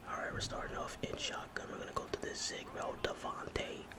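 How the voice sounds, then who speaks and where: Noticeable background noise surrounds a man whispering at a fairly quick pace. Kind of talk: whispered gaming commentary. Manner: whispered.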